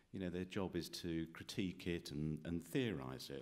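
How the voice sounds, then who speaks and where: Very deep and low with vocal fry, a man's voice comes in a British accent at a fairly quick pace with ordinary pitch variation. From UK. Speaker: professor, former journalist. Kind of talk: panel discussion. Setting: stage with audience. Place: meeting room. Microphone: podium.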